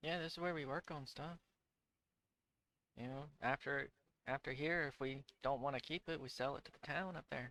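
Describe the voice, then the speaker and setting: A man's put-on character voice, drawling at a moderate pace with a fairly high pitch and long, frequent pauses. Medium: actual play. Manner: casual, drawling, folksy.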